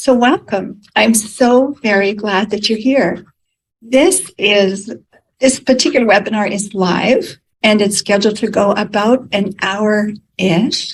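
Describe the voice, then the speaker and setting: Delivery is very slow and somewhat breathy. The pitch varies in an ordinary way. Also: woman, fairly high pitch for a woman. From United States. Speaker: podcast host. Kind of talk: interview questions, webinar hosting.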